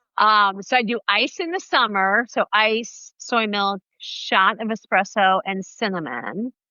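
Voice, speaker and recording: The speaker uses a plain, everyday voice with lively intonation. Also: woman. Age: 60s. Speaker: running coach and podcast host. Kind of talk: casual interview.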